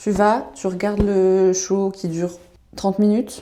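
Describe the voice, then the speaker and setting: A woman speaks with a dark, mellow tone. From Switzerland, canton of Vaud. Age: 20s. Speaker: vlogger. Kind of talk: casual vlog chat. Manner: animated.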